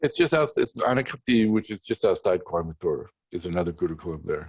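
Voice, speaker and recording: A man talks very fast, and the sound is dry and close with no echo. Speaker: Vedanta teacher, monk. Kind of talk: Q&A discussion.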